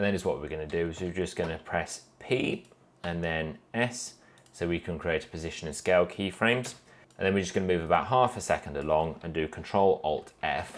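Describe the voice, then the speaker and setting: Speaking at a fairly quick pace, a man uses a very deep, low voice with ordinary pitch variation. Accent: British. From UK. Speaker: animation tutorial creator. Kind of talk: tutorial. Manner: casual, with fillers.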